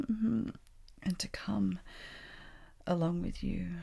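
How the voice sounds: A woman speaks slowly at medium pitch with fairly even intonation. Her slightly mellow tone carries some vocal fry.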